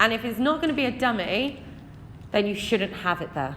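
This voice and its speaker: A woman with an English accent speaks at a fairly quick pace, her intonation lively. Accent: English accent (self-described). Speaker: maths teacher. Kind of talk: exam walkthrough tutorial. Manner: conversational, addresses students directly.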